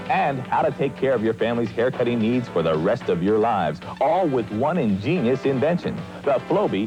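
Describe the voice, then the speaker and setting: Music plays behind a man's voice. His pitch swings very widely. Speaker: TV program host. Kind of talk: TV infomercial host read.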